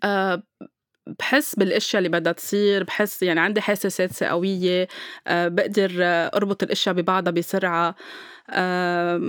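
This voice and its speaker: In a very clean recording with a silent background, a woman of medium pitch talks at a fairly slow pace with fairly even intonation. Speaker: podcast host and spiritual healer. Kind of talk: casual chat. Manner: calm.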